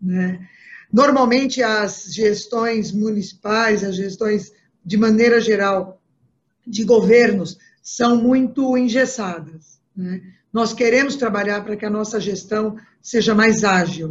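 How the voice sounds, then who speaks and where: A woman speaks very slowly in a fairly high, somewhat breathy voice. Her intonation stays fairly even. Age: 60s. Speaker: political candidate. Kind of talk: interview. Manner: halting, many fillers.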